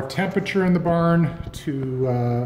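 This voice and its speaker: A man speaks at a fairly high pitch in a Canadian Prairie accent, with ordinary pitch variation. Room echo is audible. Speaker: egg farmer. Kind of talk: video tour. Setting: inside a barn with hens. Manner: whispering; casual, hesitant.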